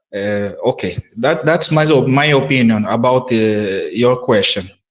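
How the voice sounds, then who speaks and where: A man speaks with a non-native accent at a fairly slow pace. His pitch is medium, with ordinary pitch variation. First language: not English. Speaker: audio space participant. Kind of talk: casual group discussion. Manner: halting.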